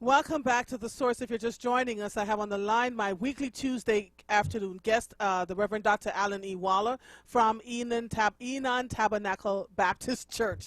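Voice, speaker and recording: A woman's fairly high voice with a slight Jamaican accent, fairly even intonation and a moderate pace, on a very clean recording with a silent background. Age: 50s. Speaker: radio host. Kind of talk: radio interview.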